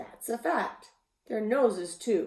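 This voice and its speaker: A woman puts on a character voice. It sits at a fairly high pitch. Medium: read story. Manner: courteous, gentle.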